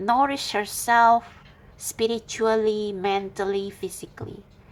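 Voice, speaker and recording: Very slowly and with fairly even intonation, a woman speaks in a non-native accent. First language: not English. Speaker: tarot reader. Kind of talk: tarot reading monologue. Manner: halting.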